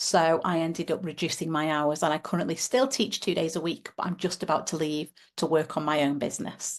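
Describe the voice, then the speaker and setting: Speaking fairly quickly in a British accent, a woman with a fairly low pitch is heard over a quiet background. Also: ordinary pitch variation. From UK. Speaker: teacher and parent advocate. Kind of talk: podcast interview.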